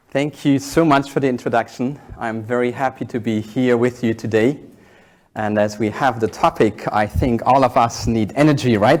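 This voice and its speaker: At a moderate pace, a man with a medium pitch speaks in fairly even intonation on a very clean recording with a silent background. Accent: German. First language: German. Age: 40s. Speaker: executive coach and keynote speaker. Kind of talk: keynote talk. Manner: halting, with fillers.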